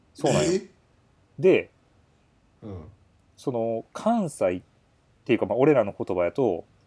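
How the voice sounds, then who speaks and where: With very wide pitch swings, a man speaks at a moderate pace, broken by long, frequent pauses. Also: medium pitch for a man. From Kyoto. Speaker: podcast co-host. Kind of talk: casual chat. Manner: blunt, harsh-sounding tone.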